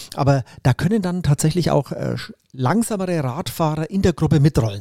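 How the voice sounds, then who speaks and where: A man speaks at a moderate pace in a dark, mellow tone with ordinary pitch variation, the sound dry and close with no echo. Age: 50s. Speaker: triathlete and teacher. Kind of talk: casual interview. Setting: studio couch.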